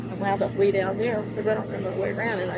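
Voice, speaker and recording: Talking at a very fast pace in an American accent, a woman with a medium-pitched voice is heard through audible room echo and noticeable background noise. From Baltimore, Maryland. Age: 60s. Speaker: driver stopped by police. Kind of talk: confrontation with police. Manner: halting, defensive.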